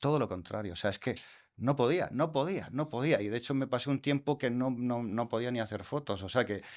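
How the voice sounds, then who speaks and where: In a Murcian accent, the speaker talks at a fairly quick pace with ordinary pitch variation, on a very clean recording with a silent background. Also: man, medium pitch for a man. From Murcia, Spain. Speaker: astrophotographer. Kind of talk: interview answer. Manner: warm, down-to-earth.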